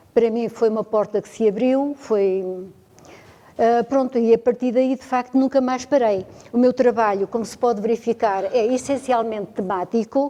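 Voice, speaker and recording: The woman's tone is dark and mellow. She speaks at a moderate pace with fairly even intonation. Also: fairly high pitch for a woman. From Portugal, Beira Interior (Penamacor area). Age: 70s. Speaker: ceramic tile artisan. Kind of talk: interview.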